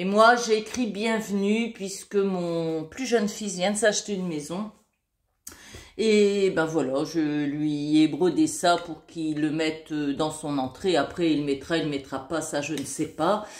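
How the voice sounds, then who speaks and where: A woman with a fairly low pitch speaks at a very slow pace, using ordinary pitch variation. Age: 60s. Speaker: crafting YouTuber. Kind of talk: casual show-and-tell video. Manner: hesitant, many fillers.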